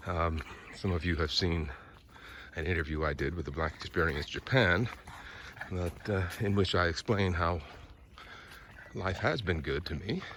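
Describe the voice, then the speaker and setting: With long, frequent pauses, a man with an American accent speaks in a relaxed tone and a very deep, low voice. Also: ordinary pitch variation, moderate pace. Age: 60s. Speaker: vlogger, former broadcast journalist. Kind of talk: casual vlog monologue. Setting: outdoors, walking a dog in a park. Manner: relaxed, with frequent fillers.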